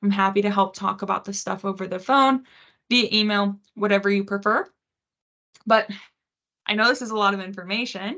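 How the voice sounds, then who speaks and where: Her voice is bright and sharp, with monotone, flat intonation. The woman talks at a fairly quick pace but leaves long, frequent pauses. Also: medium pitch for a woman. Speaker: financial aid advisor. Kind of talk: webinar presentation. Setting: online webinar. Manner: fast.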